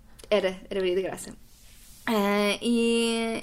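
Fairly high female voice against noticeable background noise. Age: 20s. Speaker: sustainability communicator. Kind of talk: casual interview chat. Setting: at home.

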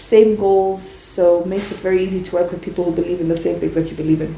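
Noticeable background noise and audible room echo accompany a woman who talks at a very fast pace in a medium pitch. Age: 20s. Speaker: entrepreneur. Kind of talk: interview.

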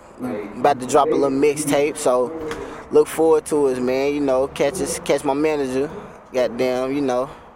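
Noticeable background noise sits behind the speaker. He is a man with a fairly high pitch, fairly even intonation and a moderate pace. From North Carolina. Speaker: rap artist. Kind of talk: live interview. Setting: live venue.

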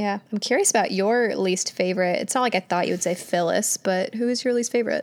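A woman with a plain, everyday voice speaks at a medium pitch and a fairly quick pace, with ordinary pitch variation and hardly any pauses. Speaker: podcast host. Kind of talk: casual chat. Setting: video call.

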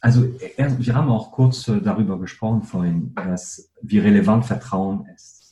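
At a medium pitch and fairly slow pace, a man speaks in a dark, mellow, somewhat breathy tone with very wide pitch swings, big swings in loudness and hardly any pauses. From northern France. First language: French (speaking German). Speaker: company co-founder and CEO. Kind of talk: interview.

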